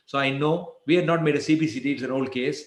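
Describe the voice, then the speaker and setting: With fairly even intonation, a man talks at a fairly high pitch. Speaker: endodontist lecturer. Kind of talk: lecture. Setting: webinar. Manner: fast.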